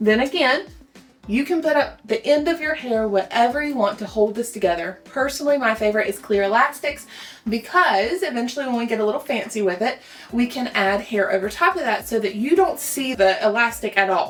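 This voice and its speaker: With lively intonation and a fairly quick pace, a woman talks over noticeable background noise. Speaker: hairstylist. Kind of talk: tutorial. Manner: fast; casual, chatty.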